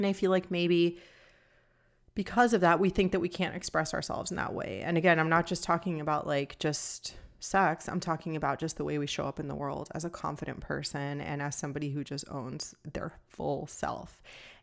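Speaking at a fairly quick pace with vocal fry, a woman with a fairly low pitch is heard on a very clean recording with a silent background. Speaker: podcast host. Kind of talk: solo podcast monologue. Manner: calm, somewhat monotone.

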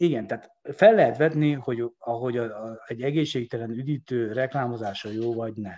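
Over a quiet background, a man with a dark, mellow tone and medium pitch talks at a fairly quick pace with hardly any pauses, ordinary pitch variation and big swings in loudness. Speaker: sports economist. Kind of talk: interview. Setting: podcast.

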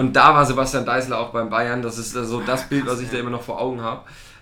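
A man's monotone, flat voice, with noticeable background noise and audible room echo. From eastern Germany. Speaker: sports podcast co-host. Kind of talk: casual chat.

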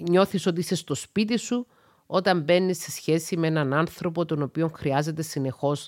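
Moderately paced, a woman speaks in a very deep, low pitch with ordinary pitch variation on a very clean recording with a silent background. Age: 40s. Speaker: psychologist. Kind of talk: solo podcast monologue.

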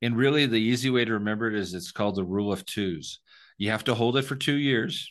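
A man speaks in an unremarkable speaking voice, pitched fairly low with ordinary variation. The background is quiet. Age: 50s. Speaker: tax-deferred exchange specialist. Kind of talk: interview.

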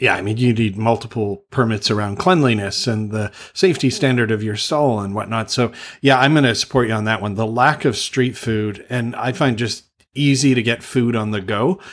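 A man's ordinary speaking voice at medium pitch, with a Canadian accent and ordinary pitch variation. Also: moderate pace. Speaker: travel podcast host. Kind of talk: casual chat. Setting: video call.

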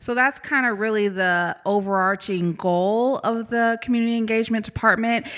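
In an ordinary speaking voice, a woman with a fairly high pitch talks at a moderate pace with ordinary pitch variation. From Kansas (Topeka). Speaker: community engagement staff at a university. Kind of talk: casual interview.

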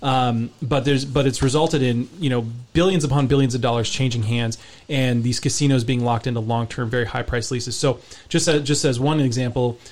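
At a fairly quick pace, a man with a plain, everyday voice, medium pitch and fairly even intonation speaks with an American accent. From US West Coast, San Francisco Bay Area. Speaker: real estate journalist. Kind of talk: radio interview.

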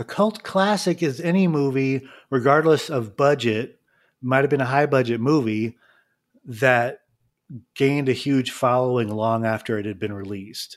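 A man's unremarkable speaking voice at medium pitch, lively intonation and a moderate pace, on a very clean recording with a silent background. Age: 40s. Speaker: podcast host and illustrator. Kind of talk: casual chat.

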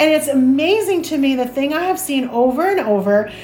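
Someone with a Chicago accent talks at a moderate pace with lively intonation. Noticeable background noise runs behind the voice. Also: woman. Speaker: church planter. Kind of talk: interview conversation.

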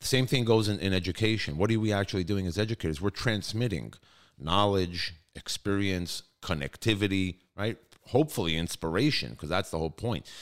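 In a New York accent, a man talks at a fairly quick pace with a fairly low pitch and an animated tone. His pitch variation is ordinary, and the recording is very clean with a silent background. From New York (Brooklyn). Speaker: high school chief executive. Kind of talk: interview.

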